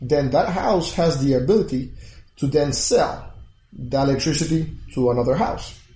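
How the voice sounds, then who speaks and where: At a moderate pace, a man with a fairly high voice keeps his intonation fairly even amid audible room echo. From Puerto Rico. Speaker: engineer turned crypto entrepreneur. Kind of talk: interview.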